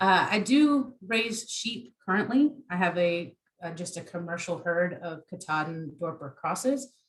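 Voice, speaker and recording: The intonation is lively. The speaker has an American accent. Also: woman. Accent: Southern US, comes through at times. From US South, South Carolina (Beaufort). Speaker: agriculture extension specialist. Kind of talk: online workshop presentation. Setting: online presentation.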